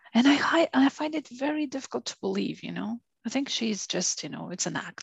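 A woman's voice shows vocal fry and very wide pitch swings, captured with a dry, close sound and no echo. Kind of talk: casual chat. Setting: home office over the internet.

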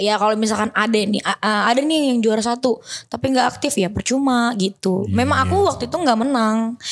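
Over a very clean recording with a silent background, a woman with a fairly high pitch talks at a fairly quick pace with hardly any pauses, ordinary pitch variation and very even loudness. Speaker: model and influencer. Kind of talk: casual chat.

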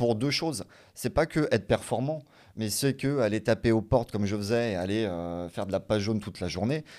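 A man with a plain, everyday voice talks at a fairly quick pace with ordinary pitch variation on a very clean recording with a silent background. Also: fairly low pitch for a man. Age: 30s. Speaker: business developer. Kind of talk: casual interview on livestream.

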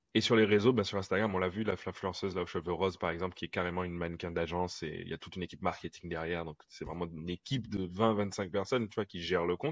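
A man's very deep, low voice, very fast with hardly any pauses, fairly even intonation and big swings in loudness, against a quiet background. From Guadeloupe. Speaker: futurist artist and public speaker. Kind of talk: casual chat.

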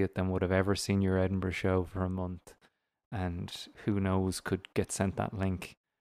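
An Irish accent in a very clean recording with a silent background. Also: man, dry, close sound with no echo. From Ireland. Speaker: stand-up comedian and podcaster. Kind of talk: casual chat.

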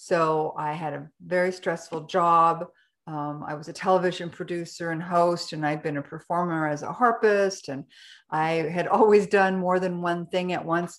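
A woman with a Canadian accent and a normal speaking voice, at a moderate pace with fairly even intonation, on a very clean recording with a silent background. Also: fairly low pitch for a woman. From Canada. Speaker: brain health coach. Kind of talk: personal story interview.

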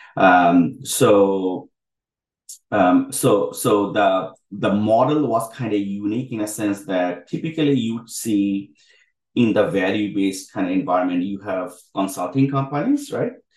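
An ordinary speaking voice proceeds at a fairly slow pace with ordinary pitch variation. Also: man, fairly low pitch for a man. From Bangladesh (Dhaka), moved to US as teen. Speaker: healthtech co-founder and CTO. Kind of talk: interview webinar.

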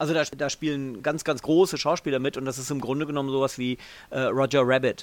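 This man's pitch is fairly high and his intonation fairly even. He talks at a very fast pace. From southern Lower Saxony, northern Germany. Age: 40s. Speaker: TV journalist. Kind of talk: casual chat. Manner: halting, many fillers.

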